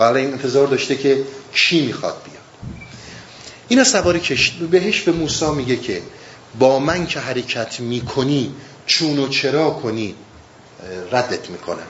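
Through audible room echo and noticeable background noise, a man with a fairly high pitch and ordinary pitch variation keeps a moderate pace, taking long, frequent pauses. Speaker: Sufi teacher explaining Rumi. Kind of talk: lecture. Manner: halting.

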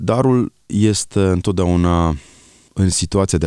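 A man speaks at a fairly slow pace. The recording is very clean and dry, close with no echo and a silent background. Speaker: author. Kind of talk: radio interview. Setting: studio.

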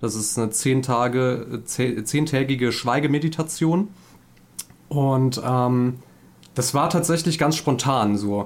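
This is a man with an ordinary speaking voice at a medium pitch. His intonation stays fairly even. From Saarland, Germany. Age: 30s. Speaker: couples therapist and gaming streamer. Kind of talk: casual podcast interview.

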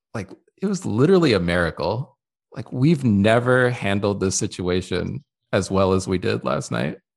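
Against a quiet background, a man talks at a moderate pace with vocal fry. His intonation is lively. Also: fairly low pitch for a man. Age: 30s. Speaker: podcast co-host. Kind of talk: casual chat.

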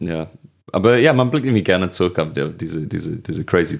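With lively intonation, a man is talking. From northwest England, Birkenhead near Liverpool. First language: English (speaking German). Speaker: comedian. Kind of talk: casual chat.

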